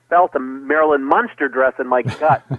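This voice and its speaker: A man speaks at a moderate pace with a fairly high pitch, ordinary pitch variation, and an ordinary speaking voice. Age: 40s. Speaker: television memorabilia collector and curator. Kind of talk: interview.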